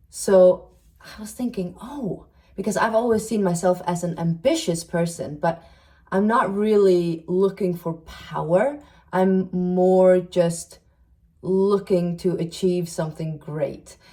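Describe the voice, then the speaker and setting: Somewhat breathy and dark, mellow in tone, the voice moves at a very slow pace with ordinary pitch variation and big swings in loudness. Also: woman, medium pitch for a woman. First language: not English (third language). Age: 30s. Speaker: self-help video creator and psychology student. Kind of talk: casual monologue video podcast. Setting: sit-down video recording.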